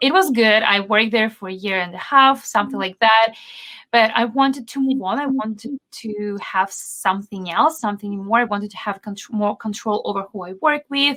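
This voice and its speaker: Her pitch varies in an ordinary way and she keeps a moderate pace. This woman's tone is bright and sharp. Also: fairly high pitch for a woman. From Belarus. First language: Belarusian and Russian. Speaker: SEO consultant. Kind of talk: podcast interview.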